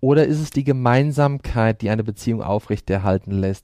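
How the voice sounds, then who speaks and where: In a dry, close recording with no echo, a man speaks with a normal speaking voice at a moderate pace and with ordinary pitch variation. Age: 40s. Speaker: profiler. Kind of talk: interview.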